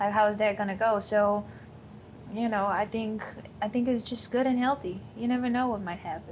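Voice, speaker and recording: Speaking at a moderate pace, a woman uses a fairly high voice with fairly even intonation. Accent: non-native. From Thailand. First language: not English. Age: 20s. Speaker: course client. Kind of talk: interview.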